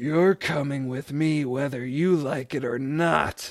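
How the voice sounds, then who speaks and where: Putting on a character voice, a man speaks at a fairly slow pace and a fairly high pitch. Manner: screaming, menacing.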